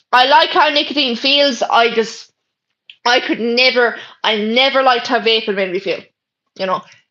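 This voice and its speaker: A woman with an Irish accent speaks at a moderate pace with long, frequent pauses, her high-pitched voice bright and sharp, her pitch variation ordinary. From Ireland. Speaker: livestreamer. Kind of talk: casual chat. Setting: bedroom.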